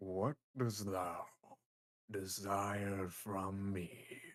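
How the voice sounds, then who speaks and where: The speaker uses a booming, put-on character voice. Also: man, fairly low pitch for a man. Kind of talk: archaic, formal. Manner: demonic, menacing.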